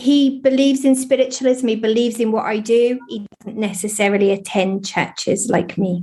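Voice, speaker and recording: A woman talks at a moderate pace with hardly any pauses, her fairly high voice somewhat breathy and dark, mellow in tone. Her pitch varies in an ordinary way. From eastern England, Lowestoft. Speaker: spiritualist medium. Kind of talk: interview. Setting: studio.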